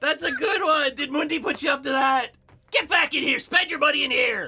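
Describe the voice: Cackling in a put-on character voice, a man speaks at an extremely high pitch and a fairly quick pace.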